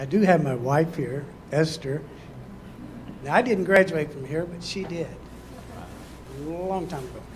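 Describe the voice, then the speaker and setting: A fairly high-pitched man speaks at a moderate pace with long, frequent pauses and big swings in loudness. Room echo is audible. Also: ordinary pitch variation. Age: 70s. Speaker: sports volunteer. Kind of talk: brief acceptance speech. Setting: school board meeting room.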